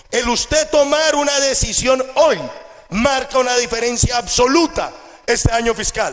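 A man's extremely high-pitched voice at a fairly slow pace, with ordinary pitch variation and very even loudness, over noticeable background noise. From Colombia. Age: 20s. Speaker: network marketing entrepreneur. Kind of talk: motivational seminar talk.

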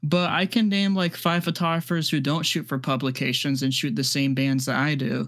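Recorded very cleanly against a silent background, a man with an American accent and a plain, everyday voice talks at a moderate, fairly high pitch with ordinary pitch variation, hardly any pauses and very even loudness. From US Midwest. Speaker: podcast host, concert photographer. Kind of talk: casual chat.

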